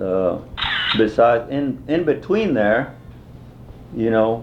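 Medium-pitched male speech at a very slow pace, with audible room echo. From Texas (Lockhart), Mexican-American. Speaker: war veteran. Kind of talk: oral history interview. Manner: halting, many fillers.

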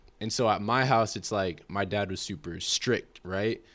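On a very clean recording with a silent background, a man with an American accent uses a normal speaking voice, fairly low in pitch with ordinary pitch variation. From California. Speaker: guest on identity podcast. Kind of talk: casual chat. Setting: studio.

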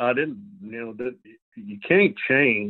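A man with a Southern US accent talks at medium pitch. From US South, Arkansas. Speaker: retired strength and conditioning coach. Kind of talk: casual interview.

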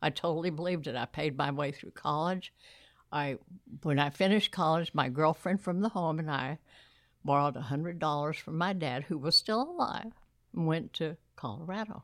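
Over a silent background in a very clean recording, a woman with an American accent speaks at a moderate pace in a very deep, low voice with ordinary pitch variation. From Texas. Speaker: church volunteer. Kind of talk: interview.

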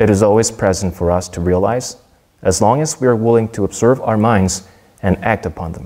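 A man with a Korean accent speaks in a dark, mellow tone at a fairly low pitch. He moves at a fairly quick pace with ordinary pitch variation. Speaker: soldier giving a Dharma talk. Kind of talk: prepared Dharma talk read aloud. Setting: temple service. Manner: formal.

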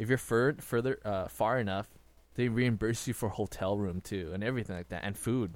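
Music plays in the background behind a man with a fairly low pitch. He talks at a fairly quick pace with ordinary pitch variation. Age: 20s. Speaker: podcast co-host. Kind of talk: casual chat. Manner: frequent fillers and laughter.

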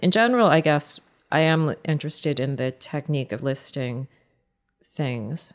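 On a very clean recording with a silent background, a woman with a very deep, low pitch and an American accent talks at a moderate pace with ordinary pitch variation. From United States. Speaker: poet. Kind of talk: interview. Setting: studio.

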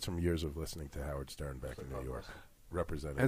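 The speaker talks at a very fast pace with vocal fry and fairly even intonation. The recording is very clean, with a silent background. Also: man, very deep, low pitch for a man. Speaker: podcast participant.

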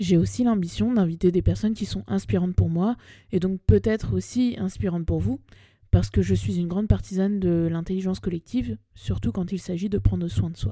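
Dark and mellow in tone, a woman's somewhat breathy, fairly low voice moves through very wide pitch swings. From Paris, France. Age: 30s. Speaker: podcast host and spiritual coach. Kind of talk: personal storytelling monologue. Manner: casual, slangy. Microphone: new microphone.

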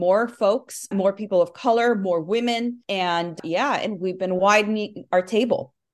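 A woman with an American accent has an unremarkable speaking voice and a fairly high pitch. She talks at a moderate pace with ordinary pitch variation. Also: hardly any pauses. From Nicaragua, then Southern California. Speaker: union leader. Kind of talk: interview.

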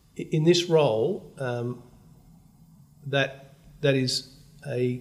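A man with an Australian accent, medium in pitch and somewhat breathy. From Australia, Melbourne. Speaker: bank CEO. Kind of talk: interview.

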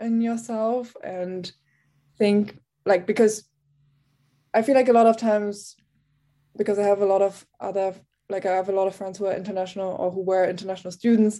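A woman's dark, mellow voice in a German accent, medium in pitch, monotone and flat, at a moderate pace. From Germany. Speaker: TV reporter. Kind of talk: interview.

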